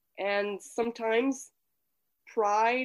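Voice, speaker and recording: Speaking with a Quebec accent, a woman has a fairly high pitch. Her intonation is monotone and flat, with a quiet background. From Quebec City, Canada. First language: French. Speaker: communication coach. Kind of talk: casual interview.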